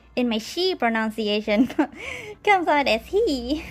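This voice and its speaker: A high-pitched woman's voice with a Malaysian accent, music playing behind her. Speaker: live streamer and artist. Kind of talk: casual live stream chat. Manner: halting, repeats words.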